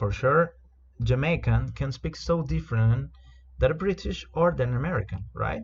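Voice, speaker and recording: This man's voice sits at a medium pitch and is somewhat breathy, moving at a moderate pace with lively intonation. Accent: Spanish. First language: Spanish. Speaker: corporate trainer. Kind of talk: product training presentation. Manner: halting, many repetitions and fillers.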